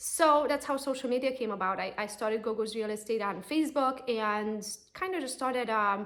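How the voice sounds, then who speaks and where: Someone with a Romanian accent talks at a fairly quick pace, using ordinary pitch variation. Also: woman, fairly high pitch for a woman. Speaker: real estate agent and coach. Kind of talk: personal pitch to camera. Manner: casual, conversational.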